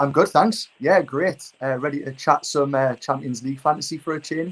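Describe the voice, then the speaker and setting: Speaking with a Geordie accent, a man with fairly high pitch keeps a moderate pace and ordinary pitch variation. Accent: Geordie (Newcastle). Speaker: fantasy football content creator. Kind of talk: casual chat. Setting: livestream.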